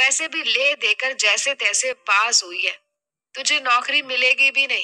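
A put-on character voice with a bright, sharp tone at a fairly slow pace, dry and close with no echo. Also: woman, high pitch for a woman, ordinary pitch variation.

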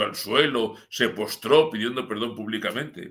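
Over a quiet background, a man with a bright, sharp tone talks at medium pitch and a moderate pace with ordinary pitch variation. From Spain, Madrid region (Sierra de Madrid); Madrid region, Spain. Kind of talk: live-streamed news commentary. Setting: live stream from his home village. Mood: ironic, critical. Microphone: webcam.

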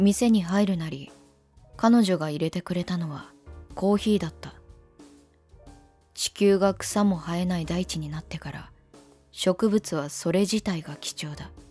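Long, frequent pauses at a fairly slow pace over music in the background. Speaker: virtual YouTuber. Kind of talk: first-person narration.

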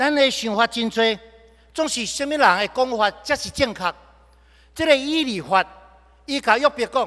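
A man speaks in a raised, projected voice with a bright, sharp tone, ordinary pitch variation and a moderate pace against a quiet background. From Taiwan. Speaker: pastor. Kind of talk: sermon. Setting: church. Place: church. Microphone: podium.

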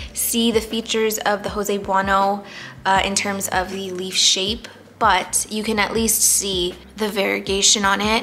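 Against light background noise, a woman with a medium pitch talks at a moderate pace in a monotone, flat intonation. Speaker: plant YouTuber. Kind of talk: casual talk to camera. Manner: somewhat monotonous. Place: home room.

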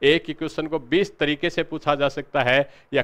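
A man with an unremarkable speaking voice, fairly high in pitch, with fairly even intonation and a moderate pace. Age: 40s. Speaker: history teacher and exam coach; history teacher, exam coach. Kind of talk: lecture. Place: classroom. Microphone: lapel.

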